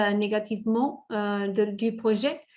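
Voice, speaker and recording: Speech in a non-native accent unfolds very slowly. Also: woman. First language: not French (speaking French). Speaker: safeguards expert presenter. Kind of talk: webinar presentation; Q&A moderation. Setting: online webinar. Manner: halting, many hesitations.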